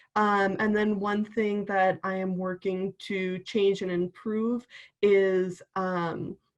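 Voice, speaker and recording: Speaking with a slight Wisconsin accent, a woman keeps a monotone, flat intonation. Her pace is very slow. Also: medium pitch for a woman. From Wisconsin, Milwaukee area. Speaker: university student. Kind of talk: panel introduction.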